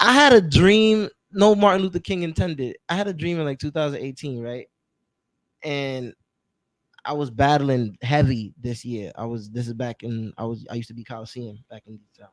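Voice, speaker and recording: Big swings in loudness mark this man's fairly high-pitched voice, and his intonation is lively. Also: moderate pace. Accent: New York. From New York City, Brooklyn (Flatbush). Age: 20s. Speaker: rapper. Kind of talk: casual interview.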